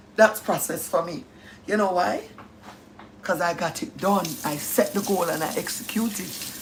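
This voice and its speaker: An animated voice in a strong Jamaican accent at a moderate pace, with ordinary pitch variation. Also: woman, medium pitch for a woman. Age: 50s. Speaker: live-stream host. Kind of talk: casual chat. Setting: live stream.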